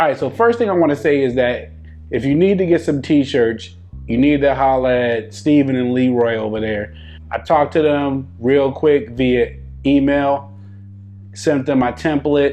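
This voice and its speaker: A man with an American accent speaks at a moderate pace with lively intonation as music plays in the background. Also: medium pitch for a man. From northeastern US (New York). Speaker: whiskey reviewer. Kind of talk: casual vlog talk. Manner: relaxed, conversational.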